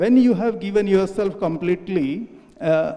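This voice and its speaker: Noticeable noise can be heard in the background. The talking goes at a fairly slow rate. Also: man. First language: not English. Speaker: audience member. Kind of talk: audience question. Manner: halting.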